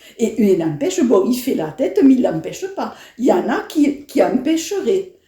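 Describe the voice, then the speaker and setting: Over noticeable background noise, a woman talks at a moderate pace. Her high voice moves in very wide pitch swings. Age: 70s. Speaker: elderly interviewee. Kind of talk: interview. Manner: halting.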